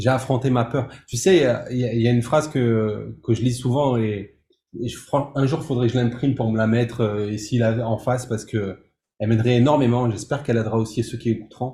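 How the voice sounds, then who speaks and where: A somewhat breathy male voice, dark and mellow, at medium pitch with fairly even intonation. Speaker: music composer and producer, entrepreneur. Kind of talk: interview. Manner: halting, many repetitions.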